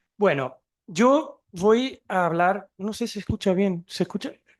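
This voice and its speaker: Speaking at a fairly slow pace, a man uses a Chilean accent and ordinary pitch variation. The background is quiet. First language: Portuguese (speaking Spanish). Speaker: museum researcher and archaeologist. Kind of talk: conference talk.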